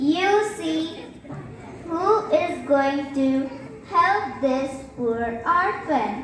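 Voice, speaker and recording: In a put-on character voice, a female-sounding speaker talks very slowly with a high pitch and long, frequent pauses, over clear background noise and a clear echo. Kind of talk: school stage skit. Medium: stage play. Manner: warm, doting.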